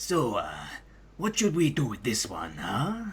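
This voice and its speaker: A man uses a put-on character voice with a fairly high pitch. He speaks at a fairly slow pace. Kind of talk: comic impression. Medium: fan dub.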